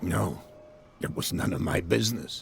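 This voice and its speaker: Over clear background noise, a man speaks at a moderate pace in a raspy, put-on character voice. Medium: video game. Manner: courteous but guarded.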